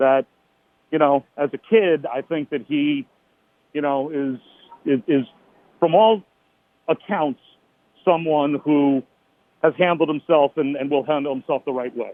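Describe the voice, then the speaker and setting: A man speaks at a fairly slow pace with a fairly high pitch. His pitch varies in an ordinary way, broken by long, frequent pauses. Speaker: radio play-by-play announcer for a football team. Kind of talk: radio interview answer.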